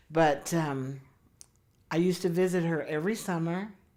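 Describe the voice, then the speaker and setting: The voice has a dark, mellow tone and an American accent. It moves at a moderate pace with ordinary pitch variation. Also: woman. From Oklahoma. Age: 70s. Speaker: interviewee telling life story. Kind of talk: oral history interview.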